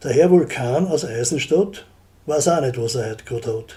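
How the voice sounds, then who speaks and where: This man has a Styrian accent, a dark, mellow tone that is somewhat breathy, and ordinary pitch variation. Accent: Graz Styrian dialect. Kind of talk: dialect poetry reading. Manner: humorous.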